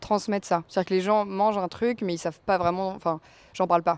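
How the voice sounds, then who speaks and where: In a very clean recording with a silent background, a woman speaks in an ordinary speaking voice at medium pitch with fairly even intonation. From Normandy, France. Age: 20s. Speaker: home-restaurant cook and entrepreneur. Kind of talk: podcast interview. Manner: casual, with frequent fillers (euh).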